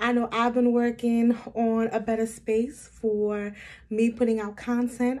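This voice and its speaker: Dark, mellow tone from a woman, delivered in a monotone, flat intonation. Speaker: beauty vlogger. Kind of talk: casual vlog chat. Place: home room. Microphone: phone near.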